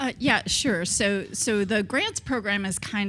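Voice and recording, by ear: A woman talks at a fairly slow pace with a fairly bright tone.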